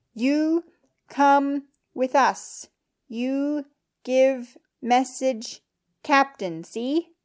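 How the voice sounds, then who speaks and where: A loud, put-on character voice from a woman, high in pitch, at a very slow pace with long, frequent pauses. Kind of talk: broken simplified speech. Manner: loud, very slow, over-enunciated.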